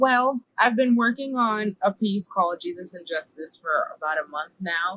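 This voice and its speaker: In an American accent, a woman with a medium pitch and a bright, sharp tone talks at a moderate pace with hardly any pauses. Her pitch swings very widely, her loudness shifts a lot, and the sound is dry and close with no echo. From New York (Bronx). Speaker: church youth leader and poet. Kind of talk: casual interview.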